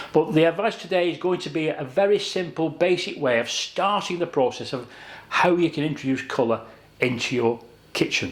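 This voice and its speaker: A man speaks at a fairly quick pace with lively intonation and a fairly high pitch, over noticeable background noise. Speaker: kitchen designer. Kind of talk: tutorial. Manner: conversational, measured.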